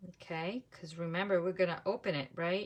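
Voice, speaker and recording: Someone with a non-native accent speaks at a moderate pace in a very clean recording with a silent background. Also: woman. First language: not English. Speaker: papercraft demonstrator. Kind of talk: live craft tutorial. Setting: Facebook live stream. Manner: casual, thinking aloud.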